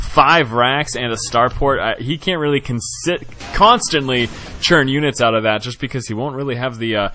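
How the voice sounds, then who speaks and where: An energetic man talking at a fairly quick pace over music in the background. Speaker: esports game commentator. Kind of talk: esports match commentary. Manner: energetic, fast-paced.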